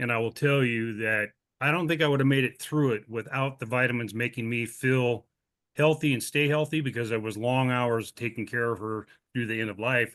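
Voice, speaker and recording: A man's normal speaking voice at medium pitch, at a fairly quick pace, with fairly even intonation and a quiet background. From Montana. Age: 60s. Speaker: customer giving product testimonial. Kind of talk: testimony. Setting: video call.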